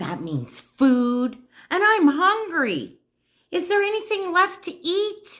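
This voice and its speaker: A woman's put-on character voice at an extremely high pitch and a fairly slow pace. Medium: read story. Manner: slow, grumbling.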